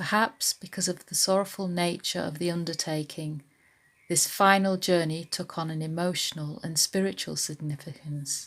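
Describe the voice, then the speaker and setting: In an unremarkable speaking voice, a woman talks at a moderate pace with fairly low pitch and fairly even intonation, on a very clean recording with a silent background. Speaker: library local studies worker. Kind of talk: documentary narration. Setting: outdoors in woods at dawn.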